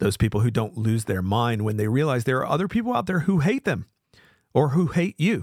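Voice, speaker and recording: Here is a man with an American accent whose pitch swings very widely while his loudness stays very even. The recording is very clean and dry, close with no echo, over a silent background. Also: medium pitch for a man, fairly quick pace. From US South. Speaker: podcast host, author. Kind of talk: live talk show monologue. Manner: casual, rambling, humorous.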